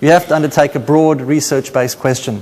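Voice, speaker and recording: At a very fast pace, a man speaks with a fairly high pitch and fairly even intonation. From South Africa, Cape Town. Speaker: paediatrician. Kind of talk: conference talk.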